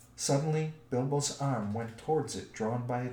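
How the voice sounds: With ordinary pitch variation, the reading voice sounds natural.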